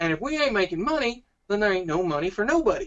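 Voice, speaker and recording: Delivered at a very fast clip, this put-on character voice has a Southern US accent as part of the act. The pitch sits fairly high. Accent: Southern American. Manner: folksy.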